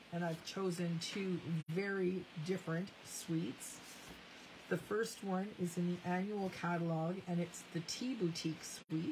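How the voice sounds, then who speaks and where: A woman with a Canadian accent speaks at a fairly slow pace, her fairly low, somewhat breathy voice held to fairly even intonation. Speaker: craft demonstrator. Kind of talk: live crafting tutorial.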